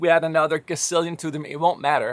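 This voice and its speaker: Spoken at a fairly quick pace with a slight Danish accent, the voice has a dry, close sound with no echo in a very clean recording over a silent background. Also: man. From Denmark. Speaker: music software company founder. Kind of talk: casual monologue.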